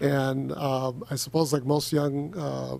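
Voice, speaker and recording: A dark, mellow tone marks this man's voice. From US, child of Spanish-speaking immigrants. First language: Spanish. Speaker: state legislator. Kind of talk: committee meeting remarks. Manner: halting, many fillers.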